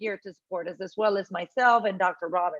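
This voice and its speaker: With a Spanish accent, a woman speaks at a moderate pace and with ordinary pitch variation. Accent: Spanish accent, noticeable. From Puerto Rico. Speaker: university academic officer. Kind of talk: Q&A session. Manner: conversational, many fillers.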